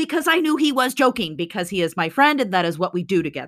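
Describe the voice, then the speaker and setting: In a very clean recording with a silent background, a woman raises and projects her bright, sharp voice, her pitch swinging very widely. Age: 40s. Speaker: podcast co-host. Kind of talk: casual chat.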